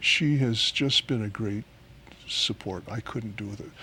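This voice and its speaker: A man's bright, sharp voice moves with ordinary pitch variation. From West Africa. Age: 60s. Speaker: pastor living with Parkinson's. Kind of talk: interview. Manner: halting.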